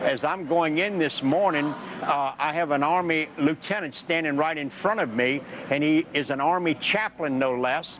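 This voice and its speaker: With an American accent and fairly high pitch, a man talks at a moderate pace with ordinary pitch variation over noticeable background noise. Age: 70s. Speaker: war veteran. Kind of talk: interview. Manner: halting.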